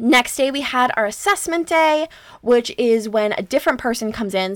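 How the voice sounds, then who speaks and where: A woman speaks in a Canadian accent with an ordinary speaking voice. Her pitch is fairly high with ordinary variation, and her pace is moderate. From Canada. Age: 20s. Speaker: podcast host. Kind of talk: casual solo monologue.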